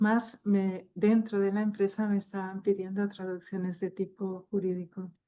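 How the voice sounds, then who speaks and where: A woman's dark, mellow voice with a French accent, in a monotone, flat intonation. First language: French (speaking Spanish). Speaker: technical translator. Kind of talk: online panel discussion.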